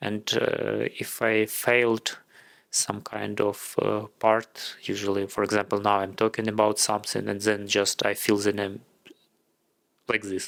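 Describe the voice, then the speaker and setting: A man with a Ukrainian accent speaks in a fairly low, monotone voice at a fairly slow pace. The recording is very clean, with a silent background. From Ukraine. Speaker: content creator. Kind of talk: casual vlog monologue. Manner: halting.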